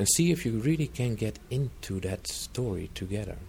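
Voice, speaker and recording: A man is speaking. His voice is somewhat breathy with a dark, mellow tone. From Netherlands. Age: 40s. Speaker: retreat center trainer and coach. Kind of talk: interview.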